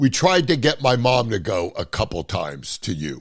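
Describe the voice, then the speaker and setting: A man speaks at medium pitch and a moderate pace, with vocal fry in his voice. The recording is very clean, with a silent background. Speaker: podcast host; comedian. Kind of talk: casual podcast conversation.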